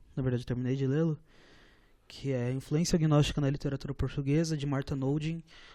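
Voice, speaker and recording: Fairly high-pitched for a man, his voice has a dark, mellow tone and fairly even intonation. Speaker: podcast co-host. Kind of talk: casual chat.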